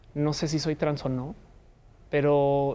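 Her voice has a very deep, low pitch and a dark, mellow tone. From Colombia, Bogotá. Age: 40s. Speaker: communicator and comedian; comedian. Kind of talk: interview. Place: studio. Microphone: lapel.

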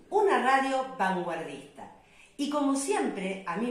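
A woman with an Argentine accent speaks with very wide pitch swings in a room with audible echo. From Argentina. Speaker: radio host. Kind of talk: radio show introduction. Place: home room. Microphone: phone near.

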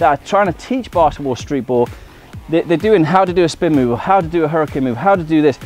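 A man's very fast speech, dry with no echo, over faint music in the background. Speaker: streetball coach. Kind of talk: tutorial. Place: garden.

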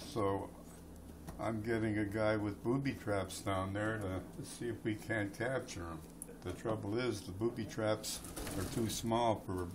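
A man speaks fairly slowly at a fairly low pitch with ordinary pitch variation. Noticeable background noise runs underneath. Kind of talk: casual banter to camera. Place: home room. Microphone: phone near.

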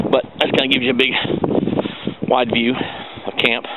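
Over loud background noise, a man talks at a fairly quick pace in a dry sound with no echo. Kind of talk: casual vlog chat. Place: forest. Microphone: phone near.

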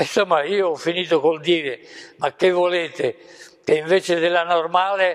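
Monotone, flat delivery over a quiet background. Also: man. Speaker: professor emeritus, mathematician; professor recounting history. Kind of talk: lecture. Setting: stage with audience. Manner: halting. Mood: calm, reflective storytelling. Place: home room. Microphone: lapel.

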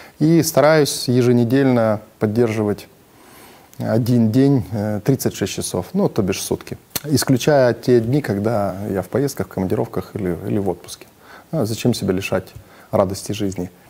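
A man speaks at a medium pitch with ordinary pitch variation. His pace is moderate, with long, frequent pauses. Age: 40s. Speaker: businessman, fasting program participant. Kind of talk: testimonial; interview answer. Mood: calm, positive. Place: studio. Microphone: lapel.

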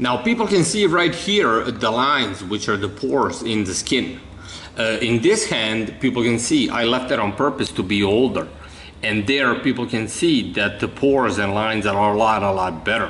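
Light background noise sits behind a man's voice. He speaks at a moderate pace with ordinary pitch variation. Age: 30s. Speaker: video creator presenting his own theories. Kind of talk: monologue explanation to camera. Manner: halting, many fillers.

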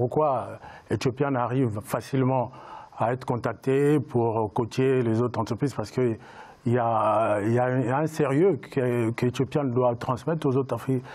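A man's speech moves fairly slowly, and his pitch varies in an ordinary way. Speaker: writer and entrepreneur. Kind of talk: panel discussion. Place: studio. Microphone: lapel.

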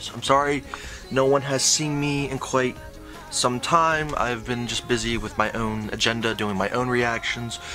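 A man talks at a moderate pace. Music is clearly audible in the background. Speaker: reaction channel co-host. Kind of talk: casual vlog chat. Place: home room. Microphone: webcam.

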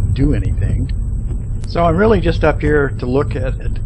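A man at a moderate pace amid noticeable background noise. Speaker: vlogger. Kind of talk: casual vlog chat. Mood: relaxed, later slightly worried. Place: car. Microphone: phone near.

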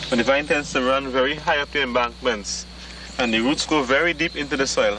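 A man at a fairly quick pace, dry sound with no echo, noticeable background noise. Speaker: herbal plant guide. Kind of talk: explanatory field demonstration. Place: open country. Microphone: old recording.

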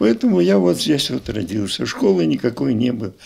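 The pitch makes very wide swings. It belongs to a man. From southern Russia, Adygea; southern Russia. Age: 80s+. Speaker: retired school director; interviewee. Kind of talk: interview reminiscence. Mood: reminiscing, conversational. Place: home room. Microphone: handheld.

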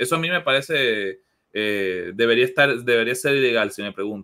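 With lively intonation, a man speaks at a moderate pace over a quiet background. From Venezuela, Maracaibo; Venezuela. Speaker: sports journalist. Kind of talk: casual chat. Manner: halting, repeats words. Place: home room.

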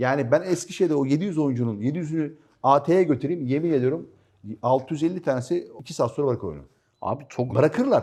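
Over a quiet background, a man with a fairly high, dark, mellow voice speaks at a moderate pace with ordinary pitch variation. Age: 50s. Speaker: airsoft team captain. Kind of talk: casual chat.

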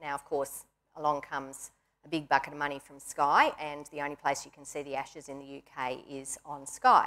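A woman with an Australian accent speaks in a very deep, low pitch and a bright, sharp tone. Her intonation is monotone and flat at a moderate pace, with big swings in loudness. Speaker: industry association chief executive; panelist. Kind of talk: panel discussion. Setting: stage with audience. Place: studio. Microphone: lapel.

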